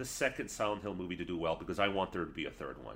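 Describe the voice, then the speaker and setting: The voice has vocal fry and a bright, sharp tone. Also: man. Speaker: podcast guest, film reviewer. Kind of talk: casual chat.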